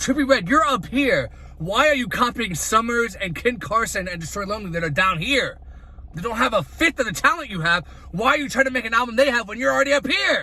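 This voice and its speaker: A man's raised, projected voice at an extremely high pitch, very fast and lively, over noticeable background noise. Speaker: music reviewer. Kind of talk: album review vlog. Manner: animated.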